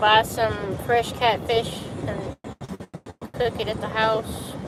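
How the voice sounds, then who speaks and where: A woman speaks in a Southern accent at fairly high pitch. Her pace is very slow and her intonation monotone and flat. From US South. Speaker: live streamer. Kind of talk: casual chat.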